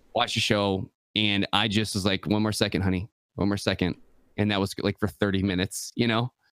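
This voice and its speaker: In an Upper Midwest accent, a man talks at a fairly quick pace with monotone, flat intonation and very even loudness. The sound is dry and close with no echo. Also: fairly low pitch for a man. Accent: Upper Midwest American. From Michigan. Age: 30s. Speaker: content creator. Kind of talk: casual chat.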